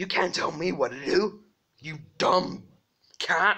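Against a quiet background, a man talks at a high pitch with very wide pitch swings. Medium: comedy sketch. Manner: grumpy, bossy.

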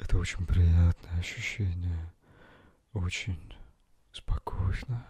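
Over a quiet background, a man with a very deep, low voice talks at a very slow pace in a calm, soothing tone, the sound dry with no echo. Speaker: ASMR relaxation guide. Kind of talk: guided meditation. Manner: calm, slow, soothing. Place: home room. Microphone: handheld.

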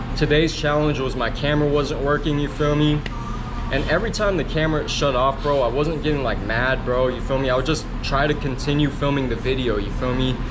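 A man at a fairly quick pace, fairly even intonation and very even loudness, over noticeable background noise. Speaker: vlogger. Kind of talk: casual vlog chat. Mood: relaxed, grateful. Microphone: phone near.

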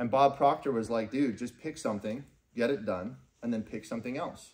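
Speaking at a fairly quick pace, a man has a dark, mellow tone. His pitch variation is ordinary. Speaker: business trainer and team leader; business trainer. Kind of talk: motivational business seminar. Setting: live event with audience. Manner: animated. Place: meeting room. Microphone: camera far.

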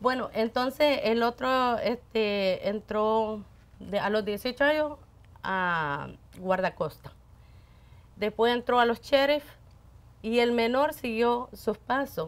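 Pausing long and often at a very slow pace, a woman with a fairly high pitch speaks in a Salvadoran accent. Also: ordinary pitch variation. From El Salvador. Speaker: radio station worker. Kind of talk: interview, personal life story. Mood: warm, animated storytelling. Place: studio.

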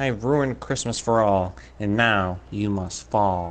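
Growling in a put-on character voice, a man speaks at a fairly low pitch and a moderate pace. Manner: snarling, menacing.

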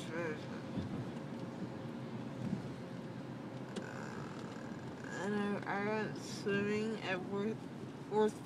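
Loud background noise surrounds speech delivered at a very slow pace. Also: woman. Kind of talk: casual rambling chat. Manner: drowsy, slurred, numb-mouthed rambling. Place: car. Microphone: phone near.

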